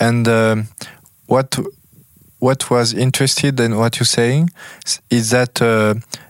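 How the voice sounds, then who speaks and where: A man speaks with a French accent at a fairly slow pace. His pitch is medium and his intonation fairly even. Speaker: podcast host. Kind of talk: interview. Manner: halting.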